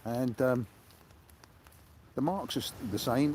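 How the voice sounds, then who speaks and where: A man with a British accent. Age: 70s. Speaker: sea angler livestreamer. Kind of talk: live stream chat. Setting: outdoors on a beach. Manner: halting.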